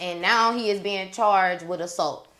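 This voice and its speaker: Her voice is an unremarkable speaking voice at a medium pitch, as a woman talks at a moderate pace in a very clean recording with a silent background. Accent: American. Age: young. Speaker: podcast host. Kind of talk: casual chat.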